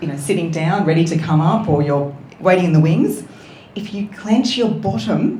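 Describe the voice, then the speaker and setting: Audible room echo and noticeable background noise accompany speech with lively intonation. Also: woman, fairly low pitch for a woman, moderate pace. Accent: Australian. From New South Wales, Australia (Wollongong). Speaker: voice coach and author. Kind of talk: interview.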